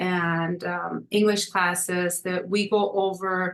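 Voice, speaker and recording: The woman's intonation stays monotone and flat. Her voice sits at a medium pitch. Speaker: community nonprofit organizer. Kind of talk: webinar presentation.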